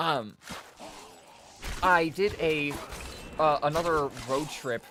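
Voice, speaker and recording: Music in the background beneath a voice of ordinary pitch variation. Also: man. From Australia. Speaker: gaming streamer. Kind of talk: casual chat while live streaming a game. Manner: halting, many fillers.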